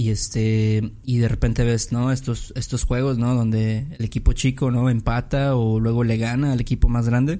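At a moderate pace and with hardly any pauses, a man speaks at medium pitch with a dark, mellow tone and monotone, flat intonation in a very clean recording with a silent background. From Mexico. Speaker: podcast host. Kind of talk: casual chat.

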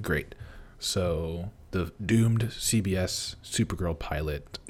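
A man speaks at a very slow pace in a very deep, low voice. His pitch rises and falls in an ordinary way, and his voice is somewhat breathy. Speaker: podcast host. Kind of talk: casual chat.

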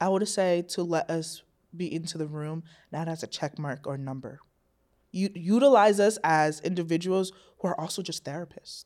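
A normal speaking voice moves along at a moderate pace, its pitch varying in an ordinary way. Everything is very clean, with a silent background. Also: woman, fairly low pitch for a woman. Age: 20s. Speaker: clinical psychology student. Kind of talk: casual chat.

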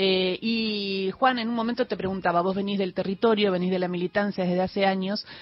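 With a plain, everyday voice, a woman talks at a moderate pace at a medium pitch, her intonation fairly even. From Argentina, Patagonia. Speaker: radio host. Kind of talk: radio interview. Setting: studio.

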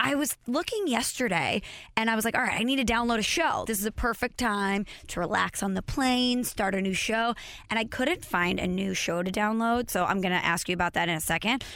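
Her tone bright and sharp, a woman speaks in a fairly high pitch at very even loudness. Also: lively intonation, fairly quick pace. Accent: American. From US Midwest, St. Louis. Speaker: podcast and radio host. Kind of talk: casual chat. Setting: studio.

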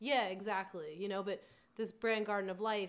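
A woman speaks with an American accent. It is an ordinary speaking voice at a medium pitch. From New York area (Long Island). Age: 20s. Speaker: adult film performer and nutrition contractor. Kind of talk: casual chat.

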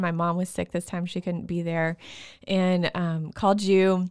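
Very clean recording, silent background. A woman with a Texas accent talks at a medium pitch. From Texas, Waco. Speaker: stay-at-home mom and childbirth storyteller. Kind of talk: casual interview, personal birth stories.

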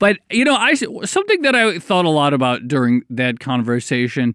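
Here is a man with an ordinary speaking voice, pitched fairly high. He keeps a moderate pace on a very clean recording with a silent background. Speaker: podcast host. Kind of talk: casual chat.

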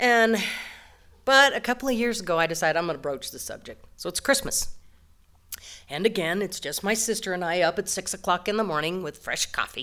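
Over a very clean recording with a silent background, a woman talks at a fairly quick pace in a bright, sharp tone, with medium pitch and lively intonation. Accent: American. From western Colorado, Delta. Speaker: storyteller. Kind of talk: live storytelling. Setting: stage with audience.

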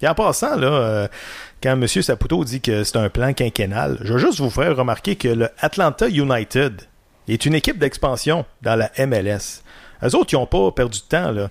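On a very clean recording with a silent background, a man of medium pitch speaks at a moderate pace with lively intonation and very even loudness. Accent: Quebec. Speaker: sports podcast host. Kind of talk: casual sports debate.

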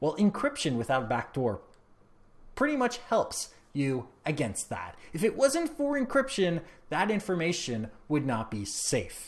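A man with a Canadian accent, high-pitched with very wide pitch swings, at a fairly slow pace in a very clean recording with a silent background. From Canada. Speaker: tech podcaster. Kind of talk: opinion monologue.

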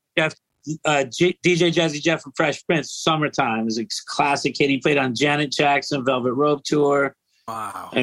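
This man has a plain, everyday voice with an American accent and a fairly high pitch. He talks at a fairly slow pace with ordinary pitch variation, and the sound is dry and close with no echo. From California. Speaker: funk bassist. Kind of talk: casual chat. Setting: video call.

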